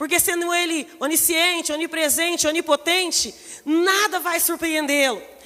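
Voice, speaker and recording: The voice moves at a fairly slow pace. Its tone is bright and sharp. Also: woman. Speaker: pastor. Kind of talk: sermon. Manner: soft-spoken at first, getting louder.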